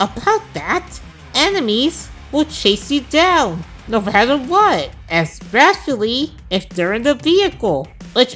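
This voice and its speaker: Over clear music in the background, a woman talks at a fairly slow pace with very wide pitch swings. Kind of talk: comedic game review narration. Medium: machinima. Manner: wry, sarcastic.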